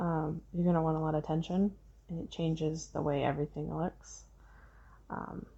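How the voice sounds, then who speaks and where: A woman speaks in a relaxed tone. Her voice is soft-spoken. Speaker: crochet tutorial creator. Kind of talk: casual crochet tutorial talk to camera, rambling tips. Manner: soft-spoken, rambling, relaxed.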